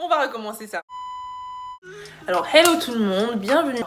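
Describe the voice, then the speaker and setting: A woman speaks over noticeable background noise. There is audible room echo. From England. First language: English (speaking French). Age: 20s. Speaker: makeup artist and beauty vlogger. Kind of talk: casual tutorial chat. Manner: hesitant, many fillers.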